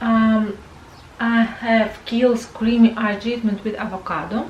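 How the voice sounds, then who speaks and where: At a very slow pace, a woman speaks with a non-native accent over noticeable background noise. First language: not English. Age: 40s. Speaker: beauty vlogger. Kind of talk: product review. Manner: halting, many fillers.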